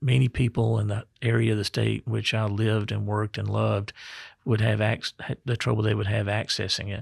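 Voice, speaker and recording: A man with a Mississippi accent, fairly low in pitch and somewhat breathy, with fairly even intonation and a fairly quick pace, on a very clean recording with a silent background. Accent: Southern US (Mississippi). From Mississippi Delta. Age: 60s. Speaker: state health officer, physician. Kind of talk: podcast interview.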